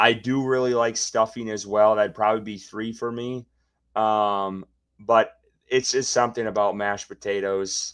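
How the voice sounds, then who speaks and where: Here is a Wisconsin accent at a moderate pace. The intonation is monotone and flat. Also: man, medium pitch for a man. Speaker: sports podcast co-host. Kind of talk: casual chat.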